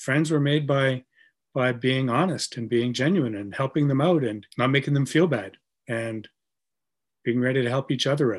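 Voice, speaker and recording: On a very clean recording with a silent background, a man talks in a plain, everyday voice. His pitch is medium with ordinary variation, and his pace is moderate. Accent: Canadian. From Canada. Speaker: brewery co-founder and writer. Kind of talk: casual chat.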